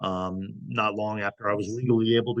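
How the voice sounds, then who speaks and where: The man's voice sits at a fairly low pitch with ordinary pitch variation. He speaks at a moderate pace. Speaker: astrologer. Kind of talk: casual talk-style lecture. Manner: halting.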